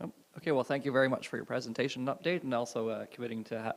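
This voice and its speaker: A soft-spoken man talks at a very fast pace. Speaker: mayor chairing council. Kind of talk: chairing a meeting. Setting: council chamber meeting.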